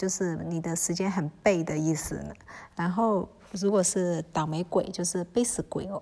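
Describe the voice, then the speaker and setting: A woman's fairly low, dark, mellow voice at a moderate pace, with fairly even intonation. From Myanmar, Kokang ethnic Chinese. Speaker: podcast host. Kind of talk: solo podcast talk on dialect words. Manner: hesitant, many fillers; casual, relaxed.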